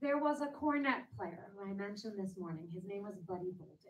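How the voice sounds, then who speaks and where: Lively intonation marks a woman speaking in an American accent. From US Northeast, New York. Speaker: jazz singer. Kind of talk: lecture.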